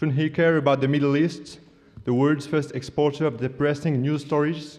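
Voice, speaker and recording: At a moderate pace, a man with a non-native accent speaks at a fairly high pitch in a monotone, flat intonation. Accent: average English accent, non-native. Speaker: student debater. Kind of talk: competitive debate speech. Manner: formal, humorous oratory.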